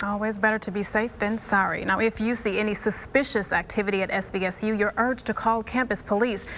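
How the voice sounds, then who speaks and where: A woman with a fairly high pitch talks at a very fast pace with hardly any pauses. Her intonation is monotone and flat, with noticeable background noise behind her. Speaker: TV news reporter and anchor. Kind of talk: TV news anchoring.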